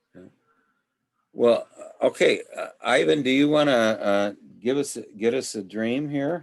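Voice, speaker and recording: A man speaks at a fairly slow pace with long, frequent pauses and big swings in loudness. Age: 60s. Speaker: study group leader. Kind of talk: casual discussion.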